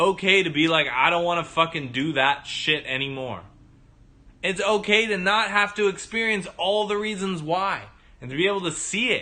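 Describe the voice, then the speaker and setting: With a bright, sharp tone and a high pitch, a man delivers a raised, projected voice at a moderate pace, sounding animated, with big swings in loudness and ordinary pitch variation. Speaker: livestream host telling personal story. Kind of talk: livestream monologue. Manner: stutters at moments.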